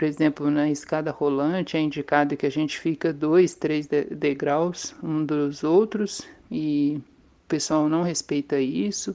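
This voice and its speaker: A woman's very deep, low voice with a dark, mellow tone, fairly even intonation and a fairly slow pace over a quiet background. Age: 50s. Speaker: maintenance technician, vaccine trial volunteer. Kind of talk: testimony.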